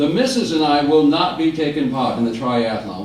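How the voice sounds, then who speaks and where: Amid noticeable background noise, a man speaks at a moderate pace in a fairly high pitch with very wide pitch swings. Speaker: humorist. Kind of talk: stand-up storytelling to live audience.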